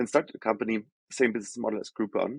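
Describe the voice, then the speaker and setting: Speaking very fast, a man with a German accent keeps to a medium pitch. His intonation is fairly even, and the sound is dry and close with no echo. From Germany. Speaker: healthcare tech executive. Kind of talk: podcast interview.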